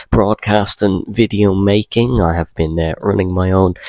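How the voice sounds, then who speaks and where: An ordinary speaking voice moves at a moderate pace with ordinary pitch variation, recorded with a dry, close sound and no echo. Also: man. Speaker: sports commentator. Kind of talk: casual talk to camera.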